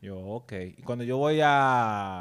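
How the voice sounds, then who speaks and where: At a fairly slow pace, the words come through in a very clean recording against a silent background. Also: man. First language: bilingual Spanish-English (speaking Spanish). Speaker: podcast co-host. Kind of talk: casual chat.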